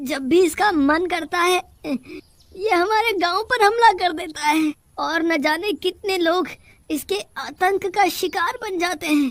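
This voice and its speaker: A woman puts on a whiny character voice at an extremely high pitch. Her tone is whiny, her pace fairly slow, and her pitch variation ordinary. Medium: cartoon. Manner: whiny, fearful, exclaiming.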